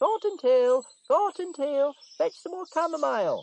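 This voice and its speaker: In a put-on character voice, the speaker goes extremely high in pitch with very wide pitch swings at a moderate pace. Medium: read story.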